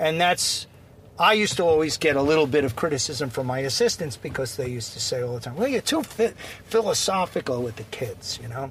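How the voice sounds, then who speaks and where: Talking at a fairly quick pace, a man uses lively intonation. He has a Long Island accent. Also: fairly high pitch for a man. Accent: Long Island New York. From Long Island, New York. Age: 50s. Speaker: basketball coach. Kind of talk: casual interview. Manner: halting, many fillers.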